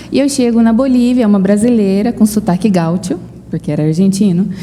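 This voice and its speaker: A woman talks fairly quickly while noticeable background noise goes on behind her. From Brazil. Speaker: missionary. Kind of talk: interview.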